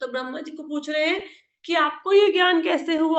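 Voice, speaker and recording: A woman speaks with ordinary pitch variation. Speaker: scripture teacher. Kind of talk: religious discourse. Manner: conversational.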